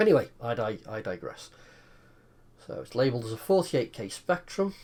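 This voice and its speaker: Somewhat breathy and at medium pitch, a man with an English accent speaks with very wide pitch swings. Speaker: retro computer hobbyist. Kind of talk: casual tutorial.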